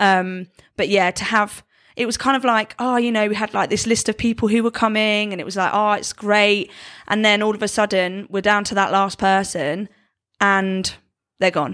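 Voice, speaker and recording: A woman at a medium pitch and moderate pace, with an ordinary speaking voice, in a very clean recording with a silent background. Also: fairly even intonation. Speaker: podcast co-host. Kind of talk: casual chat.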